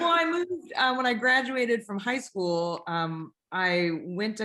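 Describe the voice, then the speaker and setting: Bright and sharp in tone, a woman speaks with a West Coast US accent. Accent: General American, West Coast. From Northern California, Bay Area. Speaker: airline pilot. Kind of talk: interview conversation.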